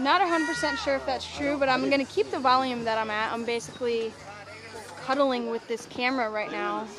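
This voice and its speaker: Loud and fairly quick, a woman with a high pitch and lively intonation is heard over noticeable background noise and audible room echo. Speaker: live sports commentator. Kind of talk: live commentary. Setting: outdoors on a balcony. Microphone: camera mic, no microphone.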